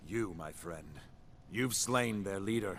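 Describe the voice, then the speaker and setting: A man uses a raspy, put-on character voice at a fairly low pitch with ordinary pitch variation, speaking at a fairly slow pace against clear background noise. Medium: video game. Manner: formal, archaic phrasing.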